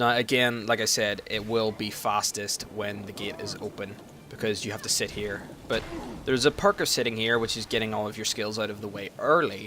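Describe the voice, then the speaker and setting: At a fairly quick pace, a man with a fairly low pitch speaks in fairly even intonation. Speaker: gaming video guide host. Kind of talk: gameplay tutorial. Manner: fast; casual with many fillers.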